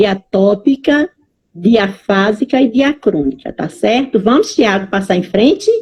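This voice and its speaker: A somewhat breathy woman with a Bahian accent, fairly high pitch, lively intonation and a fairly slow pace, in dry, close sound with no echo. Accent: Bahian accent, noticeable. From Bahia, Brazil. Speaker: Portuguese language teacher. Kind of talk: online lecture. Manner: animated.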